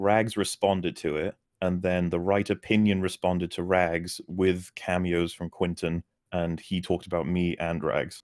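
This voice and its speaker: A man with a Welsh accent speaks at a moderate pace. His very deep, low voice stays monotone and flat. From Wales. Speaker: YouTube film critic. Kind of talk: casual chat.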